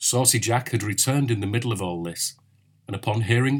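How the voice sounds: A natural reading voice, its pitch shifting by an ordinary amount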